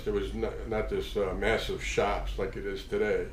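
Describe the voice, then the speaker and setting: A man at a moderate pace, with audible room echo. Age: 60s. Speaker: tattoo artist. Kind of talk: casual storytelling monologue. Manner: halting, many fillers.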